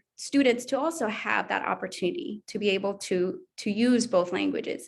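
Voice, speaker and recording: A woman at medium pitch with a Spanish accent, lively in intonation and fairly quick in pace, on a very clean recording with a silent background. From El Salvador. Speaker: language education administrator. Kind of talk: panel discussion.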